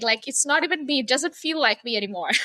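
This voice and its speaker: Raised and projected, a woman's high, bright, sharp voice swings very widely in pitch, with a dry, close sound and no echo. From India. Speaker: sacred sound artist and coach. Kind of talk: interview conversation. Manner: hesitant, filler-heavy.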